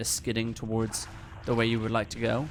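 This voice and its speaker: With noticeable background noise behind him, a man of medium pitch talks at a fairly quick pace. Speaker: speedrunner giving game tutorial. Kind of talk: live gameplay commentary tutorial. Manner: fast; hesitant, many fillers.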